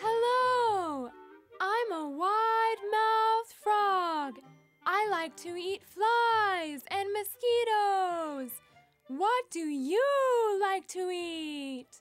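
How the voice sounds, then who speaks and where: A female-sounding cartoonish character voice speaks at an extremely high pitch and a very slow pace. Faint music plays in the background. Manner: bright, friendly, curious.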